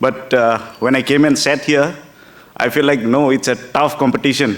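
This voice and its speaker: A man speaks with a Northeast Indian accent at a moderate pace. His intonation is flat and monotone, and background noise is noticeable. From Tripura, Northeast India. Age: 30s. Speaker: politician. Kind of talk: public speech. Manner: halting.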